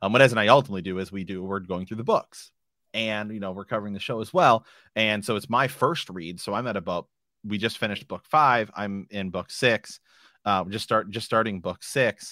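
An ordinary speaking voice with ordinary pitch variation is heard in a very clean recording against a silent background, its sound dry and close with no echo. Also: man, fairly low pitch for a man. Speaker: podcast host. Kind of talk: casual chat. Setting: live stream.

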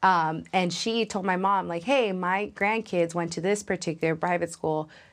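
A woman's normal speaking voice, fairly low in pitch, with an American accent, fairly even intonation and a quiet background. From Los Angeles, California. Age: 20s. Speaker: young tech professional. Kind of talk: interview conversation.

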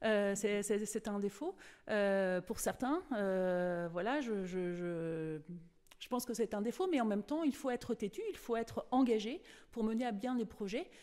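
Her voice fairly high in pitch, a woman speaks with lively intonation. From France, Cholet (western France). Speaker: local election candidate. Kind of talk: radio interview. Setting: campaign office. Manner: halting, many hesitations.

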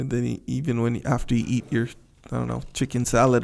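A man speaks at a moderate pace in a plain, everyday voice. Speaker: podcast co-host. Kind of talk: casual conversation. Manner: relaxed, brief agreeing responses.

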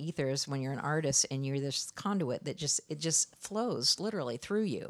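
In a very clean recording with a silent background, a woman with an American accent speaks at a moderate pace with ordinary pitch variation. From US Midwest, Iowa. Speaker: artist. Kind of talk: casual interview. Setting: in her studio.

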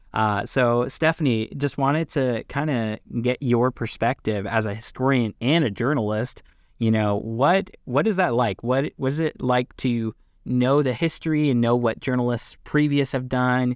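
In an American accent and a plain, everyday voice, a man speaks at medium pitch and moderate pace with ordinary pitch variation and very even loudness, in a dry, close sound with no echo on a very clean recording with a silent background. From Pennsylvania. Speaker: podcast co-host. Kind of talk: interview.

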